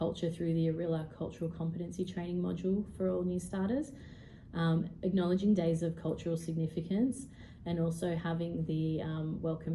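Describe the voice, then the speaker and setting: A woman with an Australian accent speaks at a fairly low pitch in a dark, mellow, somewhat breathy tone. She goes at a fairly quick pace, and room echo is audible. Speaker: HR professional. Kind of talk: presentation. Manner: fast; halting with frequent ums.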